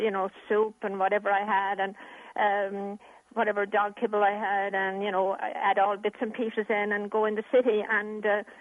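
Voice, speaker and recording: A woman with an Irish accent at a moderate pace, medium in pitch, with monotone, flat intonation. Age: 70s. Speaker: animal welfare charity chairperson. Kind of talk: interview.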